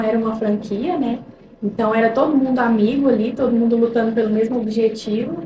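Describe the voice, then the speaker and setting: Over noticeable background noise and audible room echo, a woman with a fairly high pitch speaks at a fairly quick pace, her intonation fairly even and her loudness very even. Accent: mineiro. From Minas Gerais, Brazil (Ituiutaba). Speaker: real estate consultant. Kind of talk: casual interview chat.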